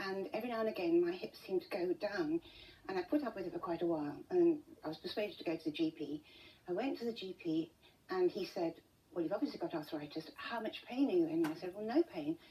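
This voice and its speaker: A woman with a British accent talks at a very fast pace and medium pitch, her intonation lively. Noticeable background noise runs behind her. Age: 70s. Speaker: interview guest with rare pain condition. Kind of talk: TV interview. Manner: halting.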